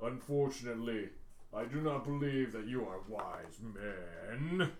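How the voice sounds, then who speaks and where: A put-on character voice from a man at medium pitch and a fairly slow pace, against clear background noise. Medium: actual play. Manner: menacing, formal, pedantic.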